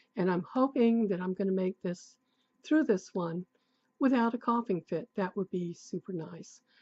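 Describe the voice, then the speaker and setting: A woman's somewhat breathy voice sits at medium pitch and moves with lively intonation. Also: moderate pace. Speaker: tarot youtuber. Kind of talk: casual unboxing chat. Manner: hesitant, many fillers. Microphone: new recording setup.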